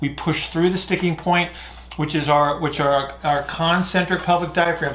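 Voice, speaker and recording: A man with a high pitch speaks in a monotone, flat intonation, with audible room echo. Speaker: fitness or breathing coach. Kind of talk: Q&A explanation, lecture-like. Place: home room.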